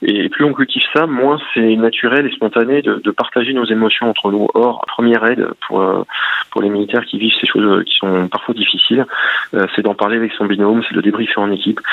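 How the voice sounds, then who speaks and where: A medium-pitched man's voice over noticeable background noise. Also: fairly even intonation. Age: 40s. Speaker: gendarmerie officer and author. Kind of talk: radio interview. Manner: halting.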